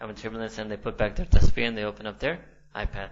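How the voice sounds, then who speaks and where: In an American accent, a man talks very fast in a fairly low, flat monotone with vocal fry. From New York City, USA. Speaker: Islamic scholar and university lecturer. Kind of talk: academic lecture.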